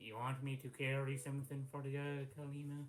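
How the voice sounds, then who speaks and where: Using a put-on character voice, a man talks at a moderate pace and medium pitch with monotone, flat intonation. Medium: actual play. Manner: gruff, blunt.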